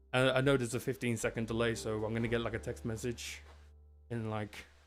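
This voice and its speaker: With music playing in the background, a man speaks at a fairly quick pace, his medium pitch showing ordinary variation. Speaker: head of professional services hosting a webinar. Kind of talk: live-streamed technical webinar, casual chat. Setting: live stream from a home studio. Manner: casual, chatty.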